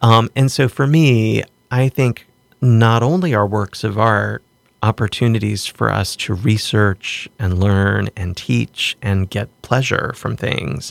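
On a very clean recording with a silent background, a man with an American accent speaks very slowly in a fairly low pitch with ordinary pitch variation, in a dry, close sound with no echo. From US South, southwestern Virginia. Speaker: art gallery director and professor. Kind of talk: casual interview. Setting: studio.

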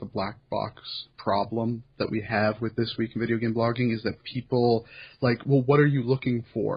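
The speech flows with hardly any pauses. The voice is somewhat breathy. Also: man. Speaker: podcast host and site curator. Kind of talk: casual chat.

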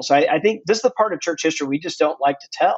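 A man with an American accent, very fast pace and lively intonation. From US South, Mississippi. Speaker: author. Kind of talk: interview.

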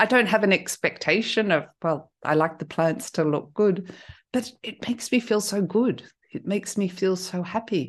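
A woman with an Australian accent at a moderate pace against a quiet background. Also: medium pitch for a woman, ordinary pitch variation. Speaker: intuitive coach. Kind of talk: casual interview.

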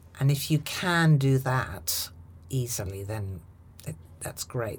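Recorded very cleanly against a silent background, a woman with a British accent sounds somewhat breathy, and her pitch swings very widely. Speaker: actress and communication trainer. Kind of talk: casual interview. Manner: commanding, authoritative.

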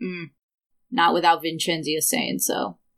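In a raspy, put-on character voice at a middle pitch, the speaker moves at a moderate pace with lively intonation. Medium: actual play. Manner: curt, clipped.

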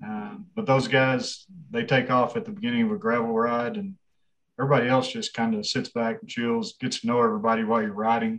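With a West Texas accent, a man of medium pitch talks at a fairly quick pace with lively intonation. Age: 40s. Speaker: race director. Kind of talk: casual interview.

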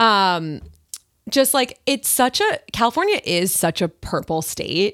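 With an American accent, the speaker goes at a very slow pace, pitch swinging very widely. The sound is dry and close with no echo, a very clean recording over a silent background. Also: woman, fairly high pitch for a woman. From Long Island, New York. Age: 20s. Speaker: comedian. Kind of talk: casual chat.

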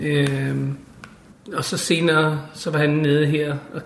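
With audible room echo around him, the man's voice sits at a fairly high pitch. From Denmark. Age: 50s. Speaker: interviewee living in Israel. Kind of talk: casual interview. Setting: apartment. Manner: halting, with repetitions and fillers.

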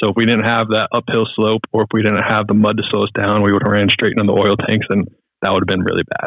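A man talks at a very fast pace with an American accent. His fairly low voice stays monotone and flat. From US South, Charlotte, North Carolina. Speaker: pilot and podcast host. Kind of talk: casual chat. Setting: call.

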